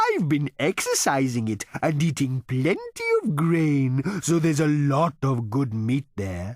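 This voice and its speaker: A man performs a put-on character voice. His pitch is fairly high. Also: fairly slow pace, hardly any pauses. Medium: read story. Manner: courteous, ingratiating waiter; placid, contented.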